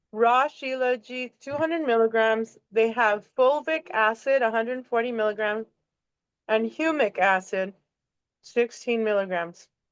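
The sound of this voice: Speaking at a fairly slow pace, a woman has a fairly high pitch with ordinary variation and a playful tone that is clear and smooth.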